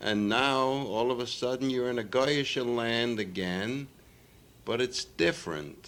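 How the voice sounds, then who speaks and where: A man speaks fairly slowly at medium pitch with very even loudness. It is an ordinary speaking voice. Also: ordinary pitch variation. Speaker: interviewer. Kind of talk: interview questions.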